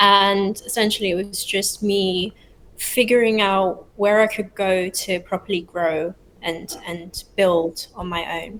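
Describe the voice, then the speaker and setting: A woman with a British accent speaks at a medium pitch. Her delivery is fairly slow and monotone, with flat intonation. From London, England. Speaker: startup founder. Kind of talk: interview.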